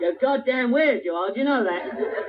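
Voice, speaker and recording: Very wide pitch swings mark a man's speech at a moderate pace, with noticeable background noise behind him. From England, northwest London. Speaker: recovery speaker. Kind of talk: recovery talk to a meeting audience. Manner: animated.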